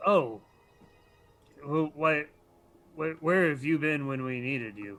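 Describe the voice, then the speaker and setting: A man does a put-on character voice pitched fairly high. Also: fairly slow pace. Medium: actual play.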